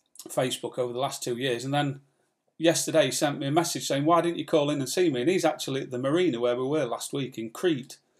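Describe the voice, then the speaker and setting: In an English accent, a man speaks very fast. His voice is fairly high with fairly even intonation. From England. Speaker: sailing vlogger. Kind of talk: live stream chat. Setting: live stream from home.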